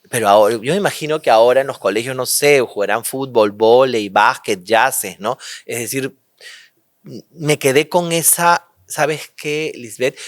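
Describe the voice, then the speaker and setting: At a fairly slow pace, a man talks in a medium pitch with ordinary pitch variation. The sound is dry and close with no echo, on a very clean recording with a silent background. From Peru, Lima. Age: 50s. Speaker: interview guest. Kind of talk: personal testimony interview. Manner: halting, repeats words.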